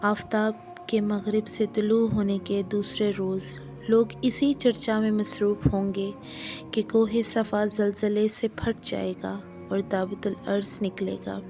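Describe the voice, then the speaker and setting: Over music in the background, a woman talks at a medium pitch with monotone, flat intonation. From Pakistan. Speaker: voice over artist. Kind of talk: religious story narration.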